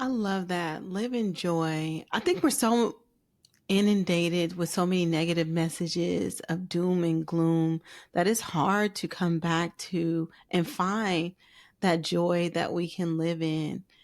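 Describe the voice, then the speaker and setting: On a very clean recording with a silent background, the speaker goes at a very slow pace with fairly even intonation in an American accent. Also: woman, fairly low pitch for a woman. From US West Coast (Oakland, California). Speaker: podcast host. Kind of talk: interview.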